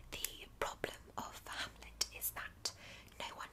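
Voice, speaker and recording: A very slow whisper beneath noticeable background noise. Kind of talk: ASMR audiobook reading of a philosophical essay. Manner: whispered, soft-spoken.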